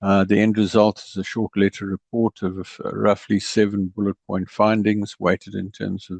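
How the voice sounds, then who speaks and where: A man speaks with a South African accent at a fairly low pitch. His intonation is flat and monotone. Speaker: ERP consultant. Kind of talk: presentation.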